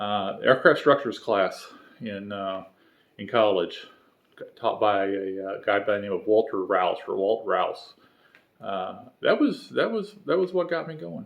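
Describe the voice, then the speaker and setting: Someone with a Southern US accent talks at a moderate pace. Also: man. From North Carolina (Charlotte), earlier St. Louis. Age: 50s. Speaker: homebuilt aircraft builder, video series host. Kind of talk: casual vlog introduction. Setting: home workshop. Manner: halting, many fillers and repetitions.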